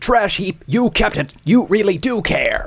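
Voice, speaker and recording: This is a put-on character voice at a fairly high pitch. It moves at a fairly slow pace. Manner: screamy, frantic.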